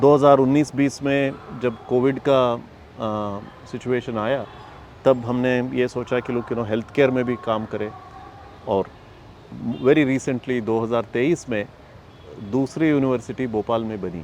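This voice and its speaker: Over noticeable background noise, a man talks at medium pitch with fairly even intonation. His speech has long, frequent pauses. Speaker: foundation communications head. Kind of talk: interview. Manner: halting, many fillers; mixes English into Hindi.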